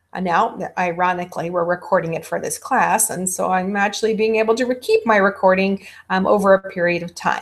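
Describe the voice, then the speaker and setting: A woman at medium pitch speaks at a fairly quick pace with hardly any pauses. Her intonation is fairly even, in a normal speaking voice. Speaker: college instructor. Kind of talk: lecture.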